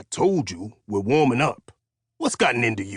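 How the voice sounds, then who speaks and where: A man puts on a growling character voice at a medium pitch, with lively intonation and big swings in loudness. He talks at a moderate pace in a dry, close sound with no echo. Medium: read story. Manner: gruff, folksy, teasing.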